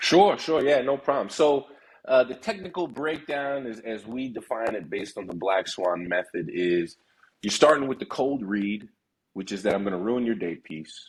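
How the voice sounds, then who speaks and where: At a moderate pace, a man with a medium pitch makes very wide pitch swings. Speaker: negotiation trainer. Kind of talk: casual interview.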